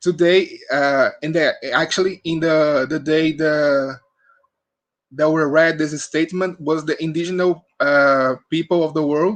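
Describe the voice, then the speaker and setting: A man's fairly high-pitched, flat, monotone voice at a fairly slow pace, with a Portuguese accent. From Brazil. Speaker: medical student. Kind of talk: prepared statement. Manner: halting.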